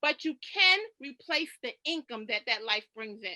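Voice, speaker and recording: In a dry, close recording with no echo, a woman projects a raised, bright, sharp voice with an animated tone and very wide pitch swings. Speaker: financial coach. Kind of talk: presentation. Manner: fast.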